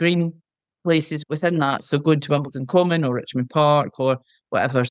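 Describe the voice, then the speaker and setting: A woman with a Scottish accent and a very deep, low voice, in a dry, close sound with no echo and a very clean recording with a silent background. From Scotland, Lanarkshire. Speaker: retired market researcher and charity volunteer. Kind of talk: podcast interview.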